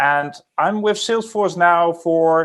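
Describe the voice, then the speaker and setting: Here a man speaks with a Dutch accent. His pitch is high. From Netherlands. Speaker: recruiting team lead. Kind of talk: panel discussion.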